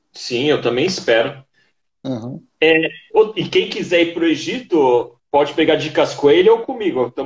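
Speaking at a moderate pace, a man uses lively intonation in a fairly high pitch. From São Paulo, Brazil. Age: 30s. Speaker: YouTuber. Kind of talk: casual interview. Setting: live stream.

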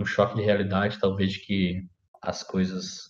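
The speaker is a man. He talks at a moderate pace. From Brazil, Paraná (Maringá area). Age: 20s. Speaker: podcaster. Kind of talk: personal monologue. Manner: casual, halting.

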